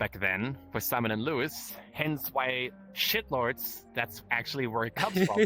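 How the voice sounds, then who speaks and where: With a German accent, the speaker talks at a fairly slow pace with lively intonation and hardly any pauses. Music plays in the background. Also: man, medium pitch for a man. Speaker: streamer. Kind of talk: interview answers. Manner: halting, repeating words.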